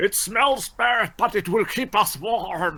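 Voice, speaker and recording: In a put-on character voice, a man speaks high-pitched and at a fairly slow pace. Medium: actual play. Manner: halting, stammering.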